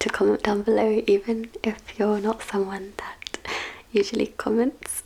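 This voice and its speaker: Soft-spoken and with a British accent, the voice comes through over noticeable background noise. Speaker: ASMR book reviewer. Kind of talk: casual spoken book review. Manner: hesitant, many fillers.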